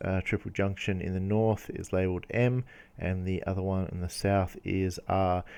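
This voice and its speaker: Speaking in an Australian accent, a man with a fairly low pitch and a dark, mellow tone talks at a fairly slow pace with fairly even intonation. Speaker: geology educator. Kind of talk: lecture. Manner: halting, many fillers.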